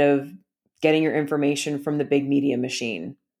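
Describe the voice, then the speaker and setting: A woman speaks in a Canadian accent at a moderate pace. The recording is very clean with a silent background. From Canada. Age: 40s. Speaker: podcaster and abuse survivor. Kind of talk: testimony and interview.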